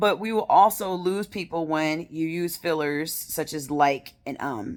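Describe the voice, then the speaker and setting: In a very clean recording with a silent background, a woman with a fairly low pitch and lively intonation talks in an unremarkable speaking voice. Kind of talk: casual vlog monologue.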